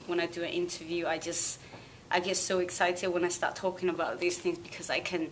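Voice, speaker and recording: A woman speaks with a Chinese accent and a fairly low pitch. Noticeable background noise can be heard. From Sichuan, southwest China; teens in England. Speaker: singer. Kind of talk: interview.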